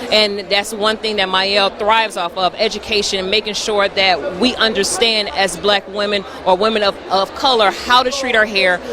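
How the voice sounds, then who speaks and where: Against noticeable background noise, a woman with an American accent speaks at a medium pitch with fairly even intonation and hardly any pauses. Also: moderate pace. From US South (Atlanta, Georgia, by way of Detroit). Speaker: hair care brand representative. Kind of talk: interview at trade show.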